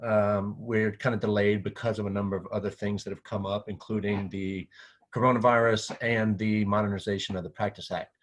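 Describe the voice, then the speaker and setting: A man talks at a fairly quick pace in a fairly low pitch. His intonation is monotone and flat, and the background is quiet. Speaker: physical therapy association director. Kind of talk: presentation. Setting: screen-share video presentation. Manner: fast.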